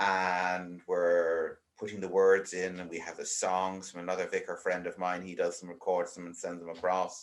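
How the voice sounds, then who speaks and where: With an Irish accent, a man talks with hardly any pauses and big swings in loudness. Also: moderate pace. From Ireland. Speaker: vicar. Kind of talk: casual chat.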